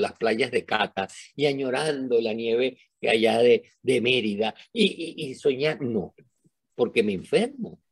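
A man is speaking. His voice sounds dry and close, without any echo. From Venezuela. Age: old. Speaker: retired professor and neuroscientist. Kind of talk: interview. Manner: animated.

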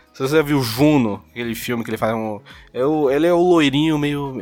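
Music plays behind a man talking at a fairly quick pace. His pitch is fairly high, with ordinary variation. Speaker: podcast co-host. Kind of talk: casual chat. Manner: animated.

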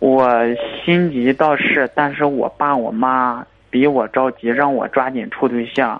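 The speech moves at a very slow pace with fairly even intonation, against noticeable background noise. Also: man, medium pitch for a man. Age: 20s. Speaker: dentist, caller. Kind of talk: phone-in call.

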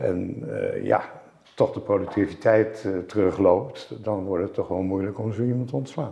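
A somewhat breathy man at a fairly slow pace, with ordinary pitch variation. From Netherlands, Zeist. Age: 70s. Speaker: entrepreneur. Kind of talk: interview.

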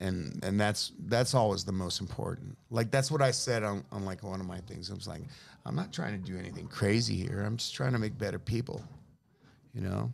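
With an American accent, a man speaks at a fairly quick pace. His pitch is fairly low, with ordinary variation. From San Francisco, US. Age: 50s. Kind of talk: casual chat. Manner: animated.

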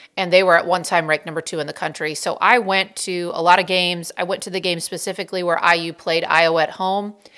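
A woman races along very fast, with hardly any pauses. Her voice is fairly low, with a bright, sharp tone. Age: 40s. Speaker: podcast host and volleyball coach. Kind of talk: solo podcast monologue. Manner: animated.

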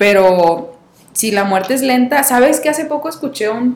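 An ordinary speaking voice, a woman's, with lively intonation at a moderate pace. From Mexico, Coahuila. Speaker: podcast host. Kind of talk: casual chat.

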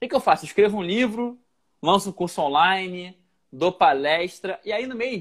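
A man speaks in an energetic tone. His intonation is lively. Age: 30s. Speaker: motivational speaker and author. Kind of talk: casual interview on Instagram live. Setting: livestream video call.

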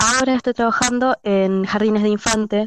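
A woman's unremarkable speaking voice, moderate in pace with ordinary pitch variation, in a dry, close sound with no echo and a quiet background. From Argentina. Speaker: former cleaner, kindergarten assistant. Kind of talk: casual chat.

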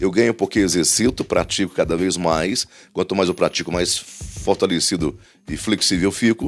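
A man's very deep, low voice at a moderate pace, animated in tone, with ordinary pitch variation. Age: 50s. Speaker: motivational podcaster. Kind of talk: motivational monologue.

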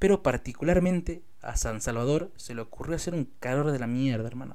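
With lively intonation, a man at a medium pitch speaks at a fairly quick pace. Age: 20s. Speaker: rapper and vlogger. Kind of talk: personal vlog monologue.

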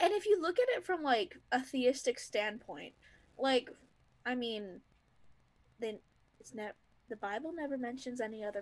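With an American accent, a woman speaks in a high pitch, her voice swinging very widely in pitch and heavily in loudness. She leaves long, frequent pauses. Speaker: co-host. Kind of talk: casual chat. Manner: animated, enthusiastic, filler-heavy.

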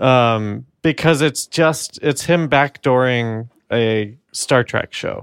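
Speaking very slowly with an American accent, a man is heard in a very clean recording with a silent background and a dry, close sound free of echo. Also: medium pitch for a man, ordinary pitch variation. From New York. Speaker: podcast co-host. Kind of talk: casual chat. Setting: home apartment recording.

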